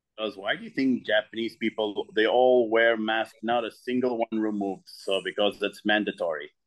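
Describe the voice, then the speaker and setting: In a monotone, flat intonation, a man talks at a moderate pace. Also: medium pitch for a man, hardly any pauses. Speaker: artist. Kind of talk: casual chat.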